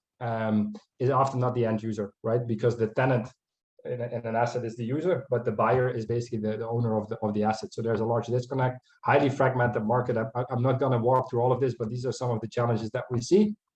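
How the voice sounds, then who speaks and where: A man's somewhat breathy, medium-pitched voice, very fast and monotone with flat intonation. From Netherlands. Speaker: proptech investor and dealmaker. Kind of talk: conference talk with slides.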